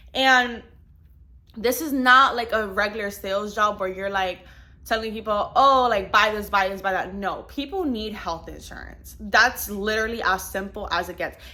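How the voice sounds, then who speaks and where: A woman speaks at a moderate pace with a non-native accent. Her fairly high voice has a bright, sharp tone and ordinary pitch variation. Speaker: insurance agent and vlogger. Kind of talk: casual vlog talk. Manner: casual, many fillers.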